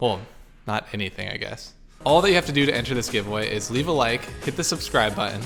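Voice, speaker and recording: A man talking at a very fast pace, with clear music in the background. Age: 20s. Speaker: e-commerce entrepreneur; e-commerce youtuber. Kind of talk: tutorial. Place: home room. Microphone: handheld.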